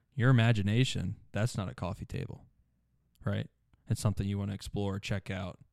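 Long, frequent pauses run through fairly even intonation. The recording is very clean with a silent background. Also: man, fairly low pitch for a man, fairly quick pace. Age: 20s. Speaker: podcast co-host. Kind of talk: casual chat. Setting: studio.

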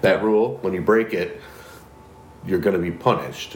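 Audible room echo and noticeable background noise surround a voice whose pitch varies in an ordinary way. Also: man. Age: 40s. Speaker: podcast co-host. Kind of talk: casual chat.

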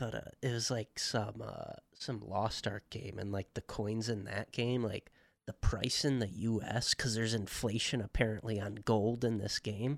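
It is an ordinary speaking voice: a man at a medium pitch with fairly even intonation, moving at a moderate pace with hardly any pauses. The sound is dry and close, with no echo. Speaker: podcast co-host. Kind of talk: casual chat.

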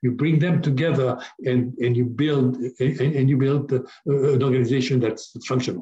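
A man with a medium pitch and a dark, mellow tone speaks at a moderate pace, somewhat breathy, with monotone, flat intonation and very even loudness. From Africa. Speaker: business coach. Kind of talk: interview.

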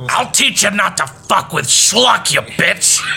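Over clear music in the background, a man does a put-on character voice at a fairly slow pace and high pitch. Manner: menacing.

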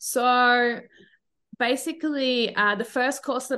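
Speech with an Australian accent moves at a fairly slow pace. The background is quiet. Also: woman. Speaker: feminism educator. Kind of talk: casual interview.

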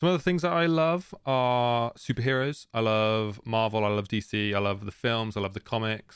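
Moderately paced male speech, fairly low in pitch. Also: very clean recording, silent background. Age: 20s. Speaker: solo podcast host, Formula One fan. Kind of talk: casual solo commentary. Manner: casual with frequent fillers.

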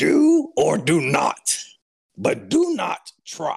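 A man in a put-on character voice at a very slow pace. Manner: put-on character voice, sage.

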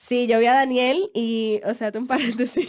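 A woman speaks at a moderate pace with a high pitch. Noticeable background noise can be heard. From Dominican Republic. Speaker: podcast co-host. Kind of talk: casual chat.

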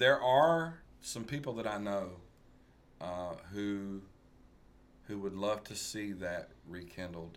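In a Tennessee accent, a man talks at a very slow pace with long, frequent pauses. His pitch is fairly low, and audible room echo surrounds him. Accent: US Southern (Tennessee). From West Tennessee (rural, near Covington). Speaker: musician. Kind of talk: casual interview chat.

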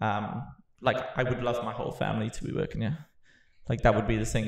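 A man speaks at a medium pitch with a Welsh accent. There is vocal fry in his voice. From Wales. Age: 30s. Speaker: podcast host and business owner. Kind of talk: casual chat.

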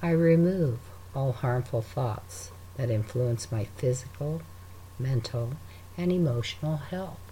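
At a fairly slow pace with long, frequent pauses, a man speaks in a calm, soothing, dark and mellow tone, somewhat breathy, at a medium pitch with very wide pitch swings. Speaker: meditation guide. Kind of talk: guided meditation. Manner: slow, calm, soothing and unhurried, with long pauses between breaths; gentle, soft-spoken, reassuring.

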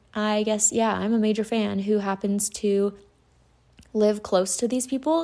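A woman with an American accent speaks at a fairly slow pace in a dark, mellow tone. The recording is very clean, with a silent background. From Utah. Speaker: podcast host. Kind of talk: solo podcast monologue.

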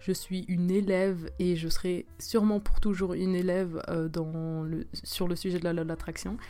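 A woman speaks at a moderate pace with hardly any pauses, her dark, mellow tone delivered in a monotone, flat intonation against audible room echo. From Switzerland. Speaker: podcaster, student. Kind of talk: casual solo talk. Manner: hesitant, many fillers.

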